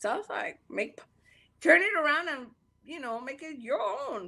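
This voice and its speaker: The woman's bright, sharp tone carries very wide pitch swings. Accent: Panamanian. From Panama. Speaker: podcaster. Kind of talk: casual interview chat.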